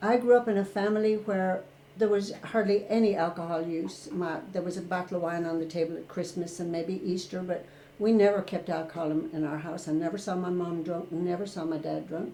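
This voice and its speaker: Noticeable background noise and audible room echo surround a woman with an Irish accent. She talks fairly quickly in a fairly low voice with fairly even intonation. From rural Ireland. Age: 60s. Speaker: retired therapist. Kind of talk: interview.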